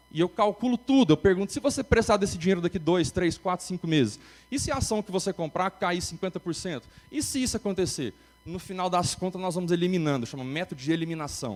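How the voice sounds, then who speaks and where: A man's high voice with lively intonation at a very fast pace. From Brazil, Goiânia area. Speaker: investment advisor and conference speaker. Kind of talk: keynote talk. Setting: stage with audience. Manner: animated.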